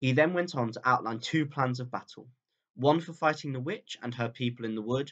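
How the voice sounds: Ordinary pitch variation in a natural reading voice, with a quiet background.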